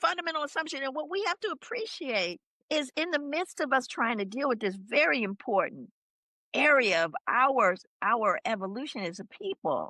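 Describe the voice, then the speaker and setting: The voice is animated and bright with a sharp edge, raised and projected at a moderate pace, swinging very widely in pitch, with a dry, close sound and no echo. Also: woman. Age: 60s. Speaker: author and social scientist. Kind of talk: podcast interview.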